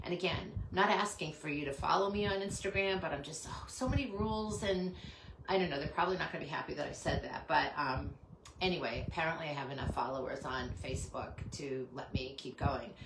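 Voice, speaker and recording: Over noticeable background noise and audible room echo, a woman talks very fast in a fairly low voice with lively intonation. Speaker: small business owner selling handmade soaps. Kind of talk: live stream product pitch. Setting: home live stream. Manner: hesitant, many fillers.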